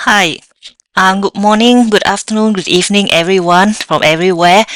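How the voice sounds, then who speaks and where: A woman's medium-pitched voice with a slight Vietnamese accent, at a moderate pace and with fairly even intonation. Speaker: software developer. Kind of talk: tech talk with live demo. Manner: hesitant, many fillers.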